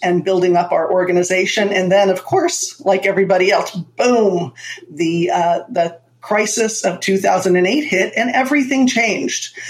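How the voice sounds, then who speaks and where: A woman with a medium pitch and ordinary pitch variation speaks at a fairly slow pace. Her loudness stays very even over noticeable background noise. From Florida, US (born in Manhattan). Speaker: entrepreneur and marketing strategist. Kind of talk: interview conversation.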